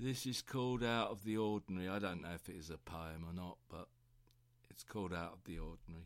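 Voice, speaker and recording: A man with a very deep, low voice and a British accent, talking at a very fast pace on a very clean recording with a silent background. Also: ordinary pitch variation, big swings in loudness. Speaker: poet. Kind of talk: poetry reading, spoken word.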